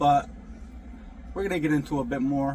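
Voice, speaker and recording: Noticeable background noise runs beneath this recording. A man speaks with an American accent in a fairly high voice. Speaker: truck driver vlogger. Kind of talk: casual vlog monologue. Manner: halting, many fillers and restarts.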